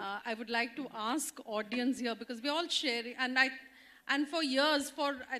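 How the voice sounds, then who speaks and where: In an Indian accent, a woman with a high pitch uses a raised, projected voice and a bright, sharp tone, speaking at a moderate pace with fairly even intonation. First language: Odia. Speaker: development sector leader, panelist. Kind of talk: personal testimony on panel. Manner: halting, many fillers.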